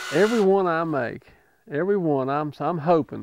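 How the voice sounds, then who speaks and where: A man speaks in an Appalachian accent with ordinary pitch variation. The sound is dry and close, with no echo. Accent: Appalachian American. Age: 60s. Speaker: retired pipe fitter and lure maker. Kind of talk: interview answer. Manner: casual, folksy.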